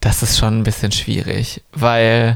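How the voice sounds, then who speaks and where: This man has an unremarkable speaking voice, medium in pitch, and talks at a moderate pace. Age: 30s. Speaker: drag queen. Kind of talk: casual chat.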